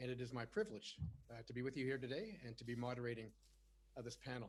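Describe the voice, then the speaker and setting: Very fast and somewhat breathy, a man with a Canadian accent speaks at a medium pitch with fairly even intonation. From Canada. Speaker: webinar moderator, retired naval officer. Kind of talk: panel moderation. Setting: webinar. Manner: frequent fillers, uh and um.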